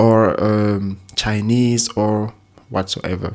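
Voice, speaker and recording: A man's fairly low voice with a non-native accent and monotone, flat intonation, on a very clean recording with a silent background. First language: not English. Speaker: language learning YouTuber. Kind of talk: casual tutorial talk to camera. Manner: halting, with repetitions and fillers.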